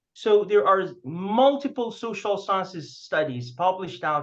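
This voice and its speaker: The speaker talks fairly slowly in a non-native accent. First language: not English. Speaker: panel speaker on international postdocs. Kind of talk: conference panel presentation. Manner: halting, many fillers and restarts.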